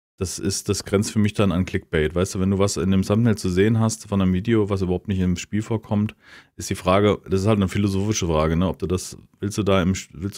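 Speech at a fairly quick pace, recorded very cleanly against a silent background. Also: man. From Hesse, near Hanau. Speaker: podcast co-host. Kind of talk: casual chat.

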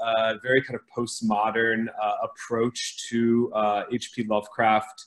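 A man speaks with an American accent. His pace is fairly slow. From US Midwest, Ohio. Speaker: author and teacher; teacher. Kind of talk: panel discussion. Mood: thoughtful, friendly. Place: home room. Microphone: video call.

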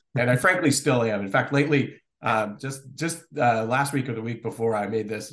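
With an ordinary speaking voice and an American accent, a man of medium pitch talks at a fairly quick pace with hardly any pauses and ordinary pitch variation. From Connecticut, US Northeast. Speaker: law professor and economist. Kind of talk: casual interview.

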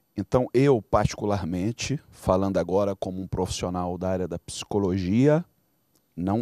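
A man with a Brazilian accent speaks at a moderate pace and fairly low pitch, with ordinary pitch variation and a dark, mellow tone. The sound is dry with no echo over a quiet background. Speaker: bishop; pastor, guest. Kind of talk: panel discussion. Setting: studio. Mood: earnest, reflective. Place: studio. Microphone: handheld.

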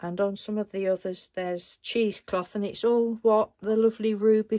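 A woman speaks at a moderate pace. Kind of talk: casual vlog chat. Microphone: phone near.

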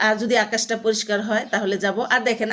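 A woman talks in a normal speaking voice at a fairly high pitch. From Bangladesh, Sirajganj. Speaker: vlogger. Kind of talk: casual vlog monologue.

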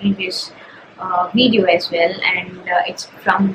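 A woman speaks at a moderate pace with ordinary pitch variation. Loud background noise is present. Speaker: data analyst vlogger. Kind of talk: casual vlog chat. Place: home room. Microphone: camera far.

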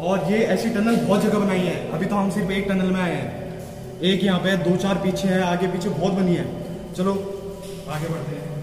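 A man's high-pitched, monotone voice with flat intonation, audible room echo and light background noise. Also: moderate pace. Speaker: vlogger. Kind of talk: casual vlog chat. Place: tunnel cave. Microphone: phone near.

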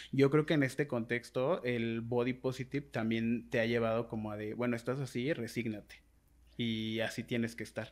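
Moderate pace from a man, quiet background behind. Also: medium pitch for a man, fairly even intonation. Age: 20s. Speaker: writer and blogger, body positivity advocate; blogger. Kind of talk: casual interview conversation. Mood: reflective, earnest. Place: home room. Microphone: studio mic.

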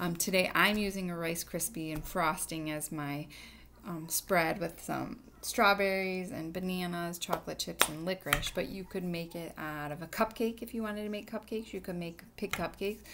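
A woman's speech, moderately paced with ordinary pitch variation, comes through noticeable background noise. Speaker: teacher addressing her students. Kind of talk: casual tutorial chat. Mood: warm, friendly. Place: kitchen. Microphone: webcam.

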